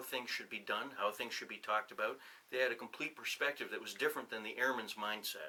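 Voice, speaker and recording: Here a man with a New England accent speaks at a very fast pace. His tone is bright and sharp, and his pitch sits at a medium level. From New Hampshire. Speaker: retired officer and professor. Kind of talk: casual interview. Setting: on-camera 360 video interview.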